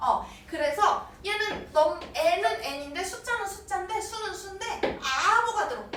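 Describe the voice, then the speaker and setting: A woman's extremely high, gentle voice at a fairly slow pace, with audible echo in the room. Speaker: chemistry tutor. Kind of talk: live online lecture. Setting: academy classroom, livestream. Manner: gentle, talks to kids as if little.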